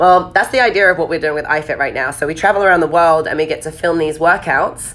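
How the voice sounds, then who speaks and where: A woman races along at a very fast pace. Her fairly low-pitched voice carries an animated tone. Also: ordinary pitch variation. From southern England. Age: 20s. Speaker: fitness coach. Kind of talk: live stream Q&A.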